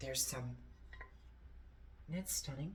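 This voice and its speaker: Here a woman is speaking. She has a strong Portuguese accent. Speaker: antiques reseller and vlogger. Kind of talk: casual haul video show-and-tell. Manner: animated.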